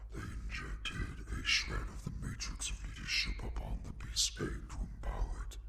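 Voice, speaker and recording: A man does a put-on character voice with hardly any pauses. Noticeable background noise can be heard. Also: moderate pace. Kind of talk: villain voice reel. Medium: voice reel. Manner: haughty, condescending.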